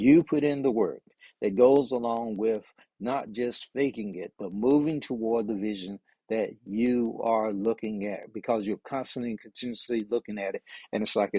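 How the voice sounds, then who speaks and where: Recorded with a dry, close sound with no echo, a man at a medium pitch speaks in a dark, mellow tone with fairly even intonation. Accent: American. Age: 70s. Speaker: motivational speaker. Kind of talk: motivational talk. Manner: halting, with fillers.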